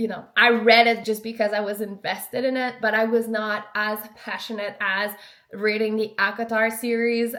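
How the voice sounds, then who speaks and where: A woman speaks with a French accent. Her pitch is fairly high. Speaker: lifestyle vlogger. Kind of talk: casual vlog talk.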